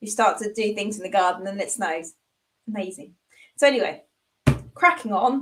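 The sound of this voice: A woman's croaky, put-on character voice at a medium pitch, with lively intonation, big swings in loudness, a moderate pace and long, frequent pauses.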